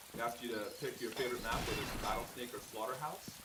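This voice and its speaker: A man's voice with ordinary pitch variation, amid audible room echo and noticeable background noise. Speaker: game production manager hosting live stream. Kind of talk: live stream presentation. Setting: office studio with others in the room. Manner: talking louder than usual. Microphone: too quiet, wrong microphone in use.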